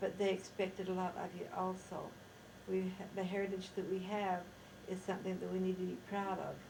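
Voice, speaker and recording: Somewhat breathy woman's voice at a medium pitch, fairly quick and monotone, flat in intonation, with audible room echo. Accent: American. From Idaho, US (Rexburg). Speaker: interviewee recounting life history. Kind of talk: oral history interview. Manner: halting, with self-corrections.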